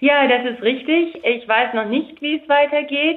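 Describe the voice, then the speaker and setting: A woman speaks with lively intonation. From Germany. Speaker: politician. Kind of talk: interview. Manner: hesitant.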